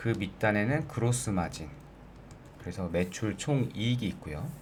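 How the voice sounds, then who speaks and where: Fairly slow, somewhat breathy speech from a man with a fairly low pitch, lively intonation and audible room echo. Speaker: finance YouTuber. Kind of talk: tutorial.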